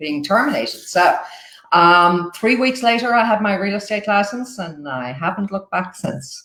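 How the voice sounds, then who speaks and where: With an Irish accent, a woman talks at a moderate pace and a medium pitch. Her intonation is lively. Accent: Irish, retained. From Ireland, Dublin. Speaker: new home sales agent. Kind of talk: interview.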